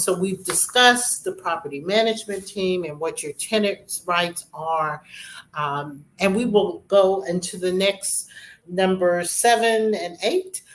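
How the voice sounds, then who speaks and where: At a fairly slow pace, a woman speaks in an unremarkable speaking voice at a medium pitch with ordinary pitch variation. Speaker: real estate show host. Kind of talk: informational talk.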